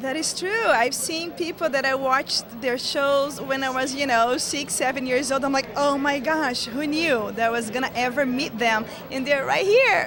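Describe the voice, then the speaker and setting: Moderate-paced speech in a Portuguese accent with hardly any pauses, ordinary pitch variation and noticeable background noise. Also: woman, high pitch for a woman. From Brazil, small town. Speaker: actress. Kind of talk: interview. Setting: convention hotel, on location.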